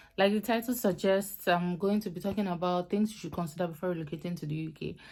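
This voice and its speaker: A woman with a Nigerian accent talks at a very fast pace in a medium pitch with ordinary pitch variation, on a very clean recording with a silent background. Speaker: YouTuber, student vlogger. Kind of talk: casual vlog advice talk.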